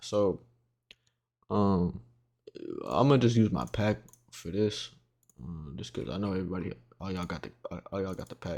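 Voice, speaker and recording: Long, frequent pauses break up a man's very deep, low voice, which has lively intonation and big swings in loudness. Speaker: graphic design tutorial maker. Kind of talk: tutorial. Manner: fast; casual.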